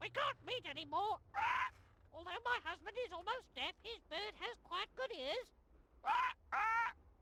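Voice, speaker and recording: A put-on character voice at an extremely high pitch, moving at a moderate pace. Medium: video game. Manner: imitates overheard speech.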